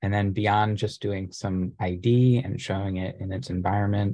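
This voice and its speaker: Over a quiet background, a man with a fairly low pitch and a dark, mellow tone sounds somewhat breathy, his pitch varying in an ordinary way. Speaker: graduate student illustrator; presenter. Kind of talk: online presentation. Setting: video call. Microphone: video call.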